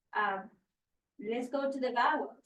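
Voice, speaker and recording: A woman with a Spanish accent speaks at a high pitch with ordinary pitch variation. Audible room echo surrounds her voice. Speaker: teacher trainer. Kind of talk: training session. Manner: halting, many fillers.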